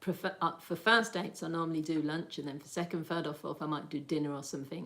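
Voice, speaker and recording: A woman with a Birmingham accent, at a fairly quick pace. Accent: Birmingham (Brummie) English. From Birmingham, England. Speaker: lifestyle livestreamer. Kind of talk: casual livestream chat. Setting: livestream. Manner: animated.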